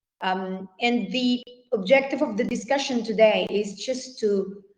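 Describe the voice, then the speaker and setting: A woman speaks with a fairly high pitch. There's audible echo from the room. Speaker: workshop speaker, founder of cultural funding organization. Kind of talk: online workshop lecture. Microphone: poor internet connection.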